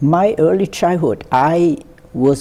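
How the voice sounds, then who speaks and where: A man with a Vietnamese accent, very slow pace and lively intonation. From central Vietnam, Quang Tri. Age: 70s. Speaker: war veteran. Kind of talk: oral history interview. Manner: halting, many fillers.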